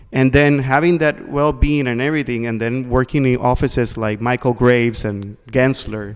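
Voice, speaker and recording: Speaking at a moderate pace with hardly any pauses, a man with a Spanish accent keeps a medium pitch and fairly even intonation. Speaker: podcast host. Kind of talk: interview.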